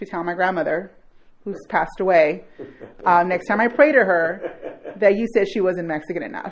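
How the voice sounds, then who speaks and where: Using an unremarkable speaking voice, a woman with an American accent talks at medium pitch and a fairly quick pace with lively intonation. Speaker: arts nonprofit director. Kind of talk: podcast interview.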